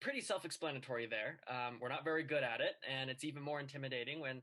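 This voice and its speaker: In a General American accent, a man at a medium pitch speaks fairly quickly with a bright, sharp tone and fairly even intonation. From Colorado, US. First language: Chinese. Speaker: student debater. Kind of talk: class presentation.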